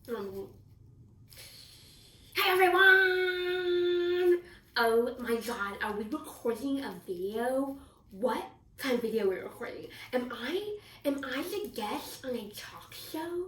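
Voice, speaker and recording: Using a cartoonish character voice, a woman speaks high-pitched with long, frequent pauses. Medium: puppet. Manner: excited, chatty.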